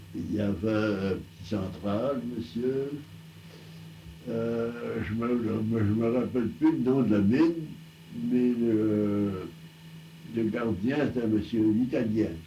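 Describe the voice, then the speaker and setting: Behind noticeable background noise, a man speaks very slowly with a fairly low pitch and ordinary pitch variation. He pauses often and at length. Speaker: telephone line builder, early telephone pioneer. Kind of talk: oral history interview answer. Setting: archival recording.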